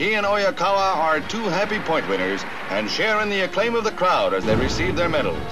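A man talks at a fairly quick pace in a raised, projected voice that sits high, with ordinary pitch variation. Clear music plays in the background. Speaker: newsreel narrator. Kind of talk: newsreel narration. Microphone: old recording.

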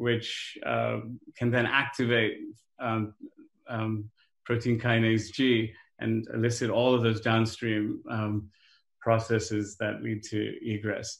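Audible room echo surrounds a man speaking slowly in a fairly low, flat monotone with vocal fry.

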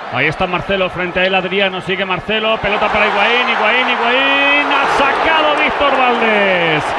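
Amid crowd noise in the background, a man speaks in an animated tone with a raised, projected voice. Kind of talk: live football commentary. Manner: animated, fast play-by-play delivery, rising to shouts on big chances; excitable, rapid-fire, clipped sentences.

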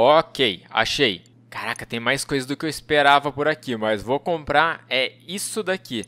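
Speaking at a fairly slow pace with a Brazilian accent, a man uses lively intonation, a fairly high pitch for a man and a bright, sharp tone. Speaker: gaming youtuber. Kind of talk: gameplay commentary. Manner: animated. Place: home room. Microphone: headset.

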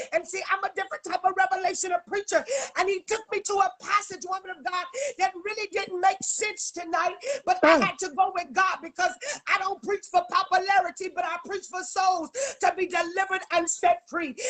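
Against a quiet background, a woman speaks in an animated tone at a fairly quick pace, her pitch extremely high. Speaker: prophetess guest preacher. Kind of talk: sermon / prophetic preaching in full flow. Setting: live social media video stream. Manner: animated, fervent, exhorting with call-and-response. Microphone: phone near.

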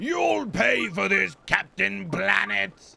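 A man uses a raspy, put-on character voice and speaks at a very slow pace. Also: medium pitch for a man. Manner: yelling, threatening.

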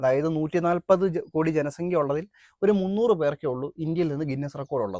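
The sound is dry and close with no echo. A man speaks with a fairly high pitch and a dark, mellow tone. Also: ordinary pitch variation. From Kerala, Adoor (Pathanamthitta). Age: 20s. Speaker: world record holder and activist. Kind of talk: interview.

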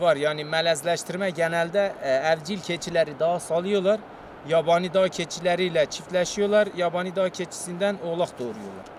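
Against light background noise, a man talks fairly slowly in a high pitch with fairly even intonation. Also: dry sound with no echo. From Turkey. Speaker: villager, goat keeper. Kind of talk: casual interview. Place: open country.

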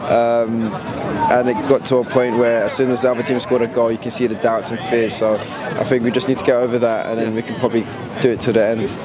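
Talking at a very fast pace, a man is heard in a dry sound with no echo while crowd noise fills the background. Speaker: interviewee. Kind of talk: interview answer. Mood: cheerful, joking. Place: street. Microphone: handheld.

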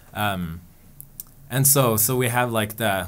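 Against light background noise, a man with a fairly low pitch speaks with ordinary pitch variation. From Sweden. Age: 20s. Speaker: organization staff member; guest. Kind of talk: interview answers. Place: studio. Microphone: studio mic.

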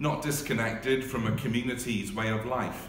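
A man speaks at a fairly slow pace with ordinary pitch variation. There is audible room echo and light background noise. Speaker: marketing and communications staff member. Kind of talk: spoken word poetry reading. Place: office. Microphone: phone near.

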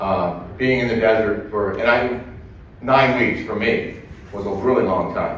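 A man at a fairly slow pace with ordinary pitch variation, plus light background noise and audible room echo. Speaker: guest, former war correspondent. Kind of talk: speech to audience. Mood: heartfelt, reflective. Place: hall.

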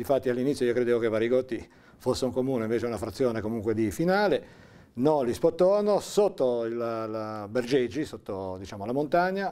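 At a fairly quick pace, a man talks in a dark, mellow tone. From Liguria, Italy. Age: 60s. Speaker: interviewee recalling local history; interviewee. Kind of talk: oral history interview. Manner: halting, with fillers. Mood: calm, reflective storytelling. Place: studio.

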